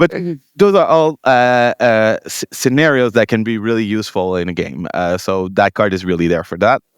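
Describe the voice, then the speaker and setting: A man with a Quebec accent at a medium pitch, moderate pace and lively intonation, in a dry, close sound with no echo. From Quebec, Montreal. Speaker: tabletop game tournament winner. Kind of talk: interview. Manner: halting.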